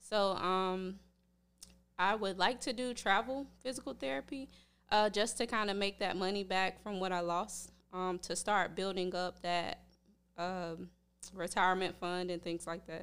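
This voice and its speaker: A woman with a normal speaking voice talks at a fairly slow pace and medium pitch, with ordinary pitch variation, on a very clean recording with a silent background. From North Carolina. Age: 20s. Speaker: physical therapy student. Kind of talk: casual chat.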